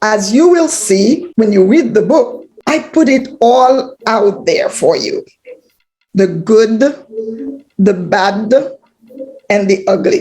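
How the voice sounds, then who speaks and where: Very slowly and with long, frequent pauses, a woman speaks in a fairly high, somewhat breathy voice with a dark, mellow tone and very wide pitch swings. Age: 70s. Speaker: author. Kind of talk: speech.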